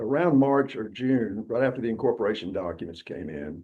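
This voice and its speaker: A man with a Southern Alabama accent, medium pitch, very wide pitch swings, a dark, mellow tone and vocal fry. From US South, Alabama Wiregrass. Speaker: law firm founder and network co-founder. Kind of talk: interview storytelling.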